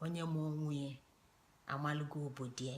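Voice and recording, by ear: A woman speaks at a fast pace in a low pitch. Her intonation is fairly even.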